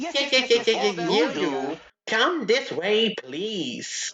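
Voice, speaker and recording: A cartoonish character voice, fairly high in pitch, moves at a fairly slow pace with very wide pitch swings. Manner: fussy, flustered.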